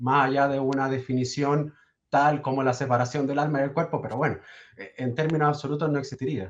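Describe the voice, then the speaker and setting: Speaking with a Chilean accent, a man uses a fairly high pitch and fairly even intonation. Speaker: caller asking a priest questions. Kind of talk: casual Q&A conversation. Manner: halting.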